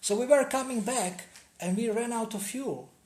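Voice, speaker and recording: At a moderate pace, a man speaks with audible room echo around his voice. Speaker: spiritual seminar teacher. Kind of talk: seminar talk.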